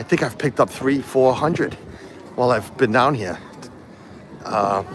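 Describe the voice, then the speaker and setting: A man talks at a moderate pace with ordinary pitch variation. Noticeable background noise is present. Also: medium pitch for a man. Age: 40s. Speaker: YouTube streamer. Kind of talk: casual live-stream vlog talk. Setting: outdoors at theme park. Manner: blunt, unfiltered.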